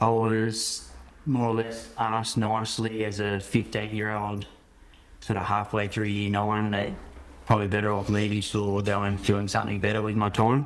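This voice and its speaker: There is audible room echo around this man's voice. He speaks with an Australian accent in a fairly low pitch and a monotone, flat intonation. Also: moderate pace. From Australia, Helensburgh NSW (south of Sydney). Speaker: farmer. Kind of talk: podcast interview. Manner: casual.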